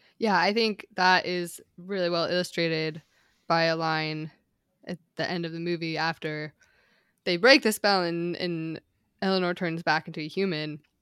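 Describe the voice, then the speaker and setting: A woman's unremarkable speaking voice, fairly low in pitch, at a moderate pace with fairly even intonation, on a very clean, dry, close recording with a silent background and no echo. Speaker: podcast co-host, screenwriter. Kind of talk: casual chat.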